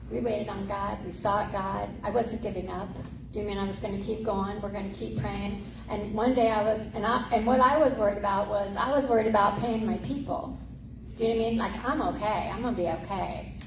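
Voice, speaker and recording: Animated in tone, a woman talks at a fairly quick pace and medium pitch with ordinary pitch variation, over noticeable background noise and audible room echo. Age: 60s. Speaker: pastor. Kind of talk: sermon.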